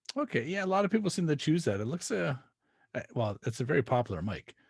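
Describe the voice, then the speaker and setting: With a Canadian accent, a man with a fairly high pitch speaks at a very fast pace, his somewhat breathy voice making very wide pitch swings over a quiet background. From Canada. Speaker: podcast host. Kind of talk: casual interview chat.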